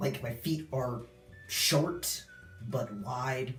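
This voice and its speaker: The voice has lively intonation, with audible room echo and music playing in the background. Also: man. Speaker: video blogger sharing transition update. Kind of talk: casual vlog. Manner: casual, filler-heavy.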